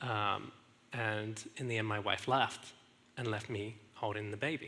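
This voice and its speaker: A bright, sharp tone with an English accent. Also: man. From England. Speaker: speaker sharing marriage story. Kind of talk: testimony. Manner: halting.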